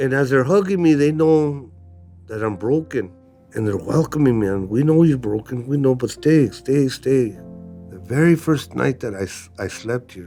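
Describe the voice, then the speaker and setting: Music plays in the background. A man talks at a moderate pace and medium pitch. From Mexican-American neighborhood, USA. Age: 60s. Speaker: recovering addict, former prisoner. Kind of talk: documentary interview testimony. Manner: emotional, casual.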